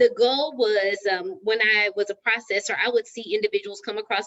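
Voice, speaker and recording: A woman with a Texan accent speaks at a fairly high pitch and a moderate pace, with ordinary pitch variation. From Texas. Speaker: real estate agent, show host. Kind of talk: live stream panel discussion. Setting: live Facebook stream.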